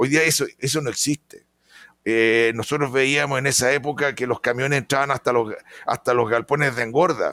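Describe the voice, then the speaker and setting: Bright and sharp in tone, a man speaks with fairly even intonation in a dry, close sound with no echo. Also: medium pitch for a man, moderate pace. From Chile. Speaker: veterinarian and pig production consultant. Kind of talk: interview.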